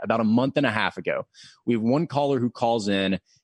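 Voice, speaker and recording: A man with an American accent and a medium pitch speaks in an unremarkable speaking voice, with ordinary pitch variation. The sound is dry and close, with no echo. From Middle Tennessee, US South (Murfreesboro). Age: 20s. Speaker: radio news anchor. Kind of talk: casual interview.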